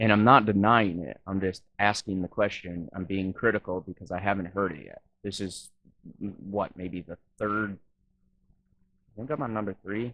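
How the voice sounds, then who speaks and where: With an American accent, a man speaks at a moderate pace and a fairly low pitch, leaving long, frequent pauses. His intonation is fairly even, but his loudness swings widely. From Wisconsin. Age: 30s. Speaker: YouTube reaction vlogger. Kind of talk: reaction commentary.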